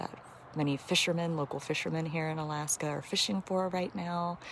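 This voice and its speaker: Soft-spoken, a woman talks with a very deep, low pitch and fairly even intonation. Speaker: wildlife conservationist. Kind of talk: livestream commentary. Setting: outdoors.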